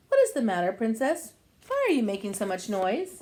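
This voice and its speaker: A woman performs a put-on character voice. Her pitch is fairly high and her pace fairly quick. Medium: read story.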